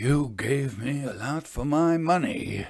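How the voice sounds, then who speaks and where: This is a put-on character voice at a fairly slow pace. The intonation is lively. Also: man. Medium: read story. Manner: gruff, short.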